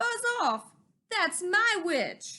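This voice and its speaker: A woman performs a put-on character voice at an extremely high pitch. It sounds shrill, croaky and growling. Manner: angry, shouting a command.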